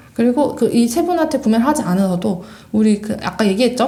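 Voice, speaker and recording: A woman speaks at a very fast pace in a high voice. Her intonation is lively. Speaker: podcast co-host. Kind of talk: casual chat. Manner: fast when excited.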